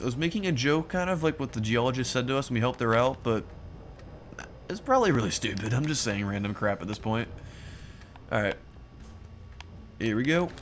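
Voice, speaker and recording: With music in the background, a man at medium pitch talks fairly quickly with lively intonation and long, frequent pauses. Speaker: let's play gamer. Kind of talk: gameplay commentary. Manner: animated.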